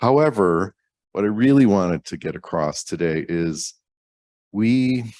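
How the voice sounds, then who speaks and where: The speech is fairly slow, with lively intonation and long, frequent pauses, on a very clean recording with a silent background. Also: man, fairly low pitch for a man. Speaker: cloud company research team member. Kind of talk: conference lightning talk. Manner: casual, conversational.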